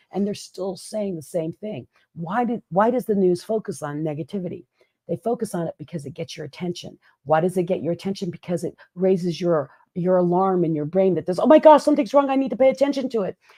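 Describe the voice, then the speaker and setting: Big swings in loudness from a woman at medium pitch, lively in intonation and fairly quick, with a dark, mellow tone and a dry, close sound with no echo. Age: 50s. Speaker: podcast co-host, keynote speaker. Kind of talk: casual chat.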